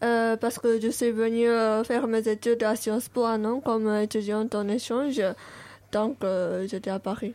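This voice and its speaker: On a very clean recording with a silent background, a woman with a Japanese accent speaks at a moderate pace in a fairly high, dark, mellow voice, monotone and flat, with long, frequent pauses. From Japan, Tokyo. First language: Japanese (speaking French). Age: 20s. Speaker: exchange student. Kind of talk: radio interview.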